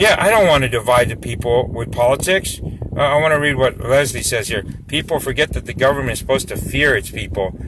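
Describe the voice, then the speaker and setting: A man rattles off his words very fast while background noise is noticeable. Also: medium pitch for a man, lively intonation. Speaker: local activist. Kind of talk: live stream chat. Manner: loud; animated.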